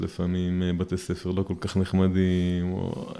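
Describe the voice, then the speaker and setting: A man's very deep, low pitch and dark, mellow tone at a very slow pace. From Israel (Petah Tikva, Rehovot). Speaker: theatre musician. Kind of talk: interview.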